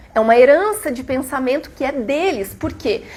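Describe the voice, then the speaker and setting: A woman's high-pitched voice at a moderate pace, with very wide pitch swings over noticeable background noise. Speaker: spiritist lecturer. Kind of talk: lecture.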